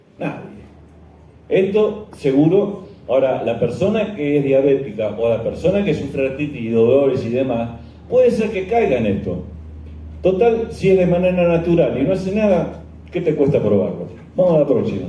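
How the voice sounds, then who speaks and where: A man at a moderate pace and fairly high pitch, with very wide pitch swings and audible room echo. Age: 60s. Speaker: journalist and skeptic lecturer. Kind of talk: conference lecture. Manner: halting, many fillers.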